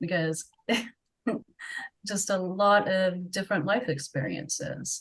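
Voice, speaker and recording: A somewhat breathy woman with an American accent talks at a very slow pace and medium pitch, with ordinary pitch variation and long, frequent pauses. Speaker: webcam model. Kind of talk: interview.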